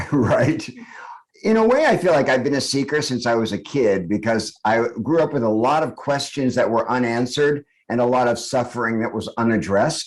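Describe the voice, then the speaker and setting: A man speaks in a plain, everyday voice at a moderate pace, with medium pitch and ordinary variation. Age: 60s. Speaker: author and spiritual teacher. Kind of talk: podcast interview. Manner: reflective, with frequent fillers.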